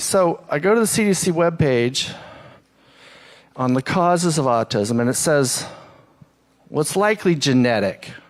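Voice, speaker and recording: Speaking at a moderate pace with long, frequent pauses, a man keeps his loudness very even while his intonation stays lively. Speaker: social scientist, panelist. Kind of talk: panel presentation. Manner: soft-spoken.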